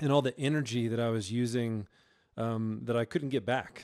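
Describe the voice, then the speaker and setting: A man with an American accent speaks at a medium pitch, his tone dark and mellow. His intonation stays fairly even, and the recording is very clean with a silent background. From Georgia, US South. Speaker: worship pastor. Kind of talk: casual interview chat. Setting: studio.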